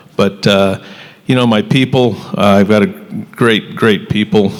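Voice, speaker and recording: Against noticeable background noise, a man with a fairly low pitch speaks at a fairly slow pace with ordinary pitch variation. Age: 60s. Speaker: hardware retailer. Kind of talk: panel discussion.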